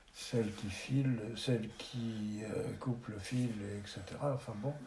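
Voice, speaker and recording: Over noticeable background noise and audible room echo, a man of medium pitch speaks very slowly with fairly even intonation. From France, Charente-Maritime (Rochefort). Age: 70s. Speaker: retired photographer. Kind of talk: interview.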